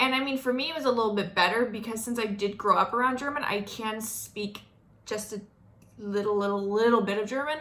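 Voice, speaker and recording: The voice has a bright, sharp tone with ordinary pitch variation. Audible room echo is present. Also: woman. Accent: American. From US South, North Florida. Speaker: vlogger. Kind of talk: casual monologue.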